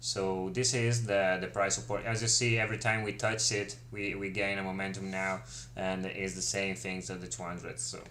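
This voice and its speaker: Lively intonation at a moderate pace comes through with audible room echo. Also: man, fairly low pitch for a man. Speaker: crypto market analyst and trading teacher. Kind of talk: live stream market analysis. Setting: live stream. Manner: halting, many fillers.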